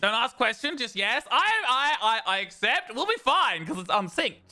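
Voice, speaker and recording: In an Australian accent, a man speaks at a moderate pace with an extremely high pitch and very wide pitch swings. His voice is raised and projected over noticeable background noise. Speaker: vtuber streamer. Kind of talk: gaming livestream chat. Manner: stammering, repeats words.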